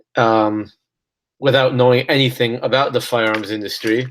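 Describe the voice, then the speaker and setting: In an American accent, a man talks at a medium pitch with monotone, flat intonation on a very clean recording with a silent background. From Los Angeles, US. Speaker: author and gun rights activist. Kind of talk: casual interview.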